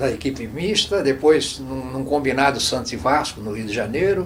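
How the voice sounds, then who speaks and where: The intonation is lively and the pace fairly slow. There is noticeable background noise. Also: man. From Santos, Brazil. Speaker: former footballer and coach. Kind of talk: oral history interview answer. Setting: studio.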